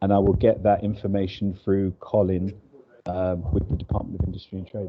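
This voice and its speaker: With a London accent, a man speaks at a fairly quick pace, his fairly low voice flat and monotone. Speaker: business representative. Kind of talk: business networking on video call.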